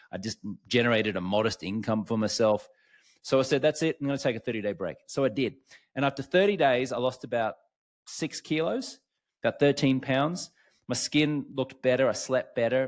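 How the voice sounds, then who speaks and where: On a very clean recording with a silent background, a man with an Australian accent talks at a fairly quick pace, with medium pitch and ordinary pitch variation. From Australia, Brisbane, Queensland. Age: 40s. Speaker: alcohol-free coach, former sports TV host. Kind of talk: podcast interview, personal story.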